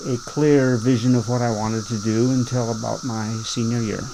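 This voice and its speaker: In an American accent, a man talks at a moderate pace with hardly any pauses, at a medium pitch with monotone, flat intonation. Noticeable background noise and audible room echo are present. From Ohio, Canton. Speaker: farmer. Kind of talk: oral history interview.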